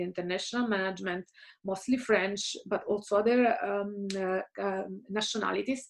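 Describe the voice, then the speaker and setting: A fairly high-pitched woman's voice in an Italian accent, with ordinary pitch variation and a fairly quick pace. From Italy, Caserta near Naples. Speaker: career coach / guest speaker. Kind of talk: recorded talk to students. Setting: home office.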